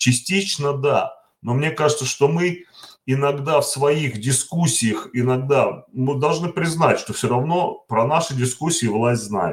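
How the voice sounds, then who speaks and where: A man with a fairly high pitch talks at a very slow pace. His voice is somewhat breathy, with ordinary pitch variation. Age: 50s. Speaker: worker and political assembly delegate. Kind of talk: online panel discussion. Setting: voice chat. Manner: plain, simple speech.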